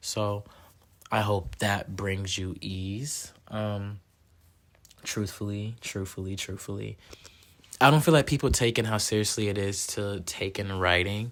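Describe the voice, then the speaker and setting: A man's fairly low-pitched voice at a fairly slow pace, with ordinary pitch variation and long, frequent pauses. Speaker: podcast host. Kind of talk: casual solo podcast talk.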